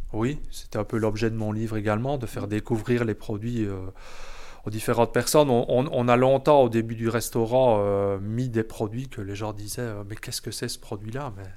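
A man's dark, mellow tone carries fairly even intonation while his loudness swings widely. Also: medium pitch for a man, moderate pace. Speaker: chef and restaurant owner. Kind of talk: interview. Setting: in his restaurant kitchen.

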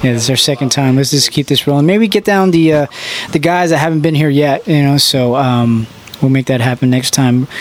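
Ordinary pitch movement in a man's speech, with noticeable noise in the background. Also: very even loudness. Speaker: radio host. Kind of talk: live radio show hosting. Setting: studio. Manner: animated.

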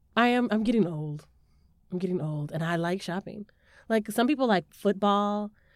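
Animated in tone, a woman talks at a moderate pace and medium pitch with ordinary pitch variation. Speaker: podcast host. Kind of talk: casual chat between sisters. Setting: recorded live at a library. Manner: animated, joking.

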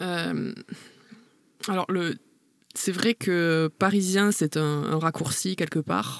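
A woman talks at a very slow pace with long, frequent pauses, her pitch fairly low and its variation ordinary. The sound is dry and close, with no echo. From southern France, Béziers (Hérault). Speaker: university lecturer and researcher. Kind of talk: interview conversation. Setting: recording booth.

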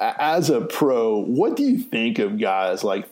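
At a very slow pace, a man with an American accent speaks with ordinary pitch variation. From North Carolina, Raleigh area. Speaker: podcast host. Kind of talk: casual interview.

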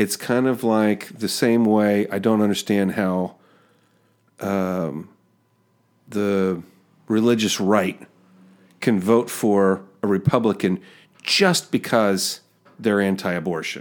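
At a very slow pace with long, frequent pauses, a man speaks with fairly even intonation on a very clean recording with a silent background. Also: fairly low pitch for a man. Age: 40s. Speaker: podcast host. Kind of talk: interview. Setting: studio.

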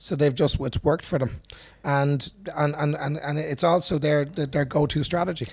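Somewhat breathy, the man's voice sits at a fairly high pitch. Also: moderate pace. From Ireland, Dublin (Finglas). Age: 50s. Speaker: self-defense instructor. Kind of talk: casual interview. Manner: animated, repetitive restarts.

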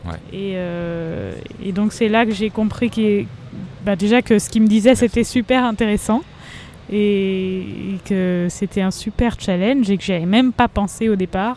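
A woman speaks at a fairly slow pace with long, frequent pauses. Her pitch is medium and her intonation fairly even. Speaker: singer. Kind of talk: casual interview. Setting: outdoor café terrace.

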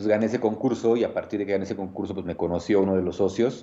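Speaking at a very fast pace, a man with a Mexico City accent has a dark, mellow tone and a fairly low pitch. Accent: central Mexican Spanish, Mexico City area. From Mexico, Nezahualcóyotl (State of Mexico). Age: 30s. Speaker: bartender / mixologist. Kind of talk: casual chat.

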